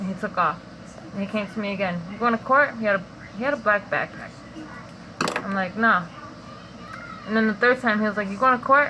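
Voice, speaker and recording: A woman at a fairly quick pace, medium in pitch with ordinary variation, with long, frequent pauses and noticeable background noise. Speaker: vlogger sharing dream interpretations. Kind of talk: casual monologue, dream testimony. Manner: casual, filler-heavy; whispering.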